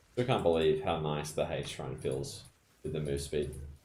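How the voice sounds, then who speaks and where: With an Australian accent, a man speaks in a dark, mellow tone with vocal fry, and audible room echo is present. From Australia (Perth). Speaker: video game streamer. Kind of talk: casual chat.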